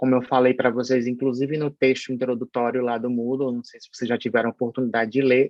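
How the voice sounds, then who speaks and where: With monotone, flat intonation, a man talks at a fairly quick pace in a medium pitch. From Paraíba, northeast Brazil. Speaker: pharmacology professor. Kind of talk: online lecture. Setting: online synchronous class. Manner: hesitant, many fillers.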